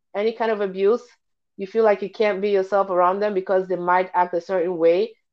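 An unremarkable speaking voice at a fairly quick pace. The intonation stays fairly even. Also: woman. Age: 20s. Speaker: podcast co-host. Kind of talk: casual chat.

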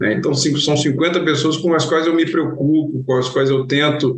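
A man speaks in a somewhat breathy voice with fairly even intonation, and audible room echo surrounds him. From Brazil, interior of Goiás. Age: 40s. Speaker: engineering company founder and CEO. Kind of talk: interview conversation. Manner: hesitant, frequent fillers and repetitions.

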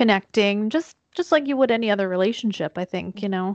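In an American accent, a plain, everyday voice with ordinary pitch variation comes through a dry, close sound with no echo over a quiet background. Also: woman. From central Pennsylvania, near the Maryland line. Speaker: marketing agency owner, podcaster. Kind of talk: casual chat.

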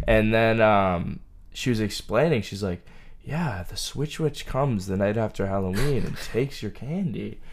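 Speaking with a New England accent, a man keeps a medium pitch, lively intonation, and a moderate pace. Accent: New England American. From central Massachusetts. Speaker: college student running a marathon for charity. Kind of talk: casual interview chat.

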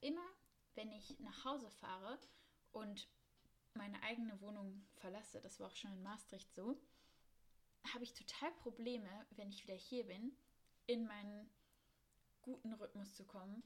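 A woman talks at a moderate pace in a fairly high, somewhat breathy voice. Her pitch varies in an ordinary way, and she leaves long, frequent pauses. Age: 20s. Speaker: podcast host, master's student. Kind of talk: casual monologue. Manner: spontaneous, chatty.

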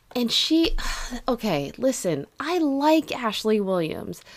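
An animated woman with an American accent and lively intonation, on a very clean recording with a silent background. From California (San Jose). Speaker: podcast co-host. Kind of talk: casual chat.

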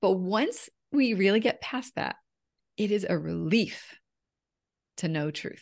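Her pitch medium and her intonation lively, a woman speaks with vocal fry at a fairly slow pace, leaving long, frequent pauses. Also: quiet background. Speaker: women's empowerment coach. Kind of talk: casual interview chat.

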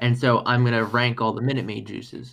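A man speaks in a normal speaking voice at medium pitch. His pace is fairly quick. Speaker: podcast host. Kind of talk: casual chat.

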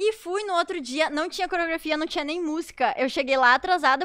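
A woman's raised, projected voice, extremely high in pitch, with ordinary pitch variation, a very fast pace and noticeable background noise. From Santa Rosa, Rio Grande do Sul, Brazil. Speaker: professional dancer. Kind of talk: casual chat.

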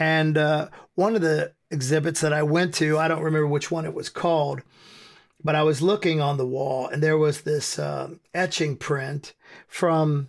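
A man with an American accent and a fairly high pitch, an ordinary speaking voice, fairly even intonation and a moderate pace. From US. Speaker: hardcore band frontman. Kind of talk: podcast interview. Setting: remote call.

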